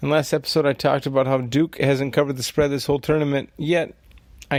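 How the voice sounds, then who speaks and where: The voice is quiet and moves at a very fast pace. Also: man. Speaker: sports betting podcast host. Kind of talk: solo podcast monologue. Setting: at home at night.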